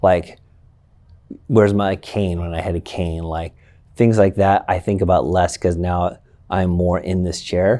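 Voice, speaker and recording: A man speaks quietly and fairly slowly in a very deep, low pitch with a dark, mellow tone, fairly even intonation and long, frequent pauses, in a very clean recording with a silent background. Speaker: school educator and baseball coach. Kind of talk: interview conversation.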